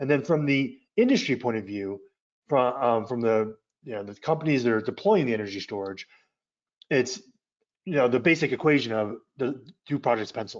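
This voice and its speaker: With long, frequent pauses, a man speaks at medium pitch with ordinary pitch variation. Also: fairly quick pace. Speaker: energy policy expert presenter. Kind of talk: webinar presentation. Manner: fast; halting, many fillers and repeats.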